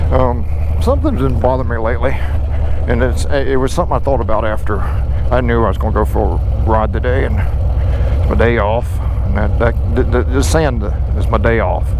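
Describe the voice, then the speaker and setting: At a moderate pace, a man speaks with a very deep, low pitch, ordinary pitch variation and very even loudness, with audible room echo and noticeable background noise. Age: 60s. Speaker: motorcycle vlogger. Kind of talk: casual monologue while riding. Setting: riding a motorcycle outdoors. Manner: halting, many fillers.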